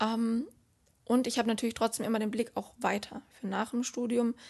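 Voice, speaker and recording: A plain, everyday voice, a woman's at fairly high pitch, moderate in pace, over a quiet background. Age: 20s. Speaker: student and social media influencer. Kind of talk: interview. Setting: office.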